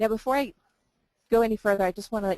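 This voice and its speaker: A woman speaks with ordinary pitch variation. The sound is dry and close, with no echo. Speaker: webinar moderator. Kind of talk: webinar presentation. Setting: coffee shop, online webinar. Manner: kept low.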